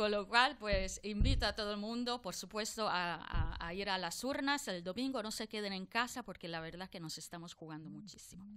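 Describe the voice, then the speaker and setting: The voice has a bright, sharp tone and moves at a moderate pace with hardly any pauses. Its loudness swings widely, while the pitch varies in an ordinary way. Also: woman, medium pitch for a woman. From outside Spain. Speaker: politician. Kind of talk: political debate.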